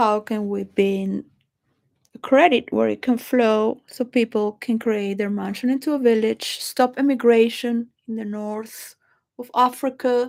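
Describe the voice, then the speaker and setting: A woman with a Spanish accent speaks at a fairly slow pace in a fairly high pitch, her intonation fairly even while her loudness swings widely. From Venezuela. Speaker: video blogger. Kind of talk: rambling monologue. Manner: halting.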